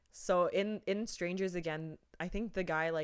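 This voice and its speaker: Over a silent background on a very clean recording, a woman talks at a fairly slow pace with fairly even intonation in an unremarkable speaking voice. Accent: Canadian. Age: 20s. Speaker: podcast co-host. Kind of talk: casual chat.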